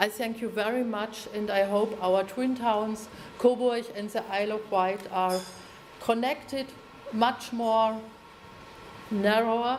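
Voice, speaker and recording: A woman speaks very slowly in a German accent, her fairly high voice flat and monotone, with long, frequent pauses, audible room echo and noticeable background noise. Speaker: mayor of twin town. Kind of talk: formal ceremonial speech. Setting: town hall reception with audience. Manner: halting.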